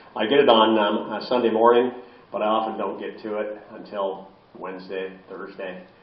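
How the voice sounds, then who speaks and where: Amid noticeable background noise and audible room echo, a man with a fairly low pitch talks at a moderate pace in a monotone, flat intonation, his loudness swinging a lot. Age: 70s. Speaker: philosophy professor and end-of-life advocate. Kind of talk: public lecture. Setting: library talk with audience and microphone. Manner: many filler words, halting.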